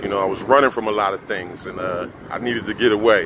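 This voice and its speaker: A man with an American accent talks at a very fast pace and a fairly low pitch amid noticeable background noise. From US Northeast (Philadelphia / New Jersey area). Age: 50s. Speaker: vlogger. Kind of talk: casual monologue. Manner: halting, with many fillers.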